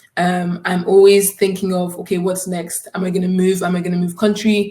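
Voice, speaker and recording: Somewhat breathy, a woman speaks at a moderate pace with monotone, flat intonation. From Scotland. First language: German. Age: 20s. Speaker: student. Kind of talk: conference talk.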